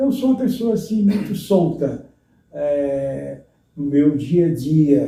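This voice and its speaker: At a very slow pace, a man speaks in a somewhat breathy voice with a dark, mellow tone, and audible room echo can be heard. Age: 70s. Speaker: retired pastor. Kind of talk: interview. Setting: at home.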